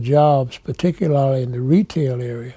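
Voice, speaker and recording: A man with an American accent, dark and mellow in tone, somewhat breathy, at a fairly slow pace. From Petersburg, Virginia (US South). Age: 70s. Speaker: military veteran, civil rights interviewee. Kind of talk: oral history interview.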